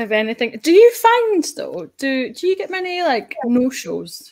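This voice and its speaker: A woman in a Scottish accent, with very wide pitch swings at a fairly slow pace. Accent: Scottish, kept. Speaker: data show host. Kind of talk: casual interview chat. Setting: live online show.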